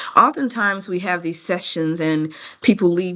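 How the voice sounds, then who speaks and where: An unremarkable speaking voice talks at a fairly quick pace with ordinary pitch variation. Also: woman. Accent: American. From United States. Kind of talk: lecture.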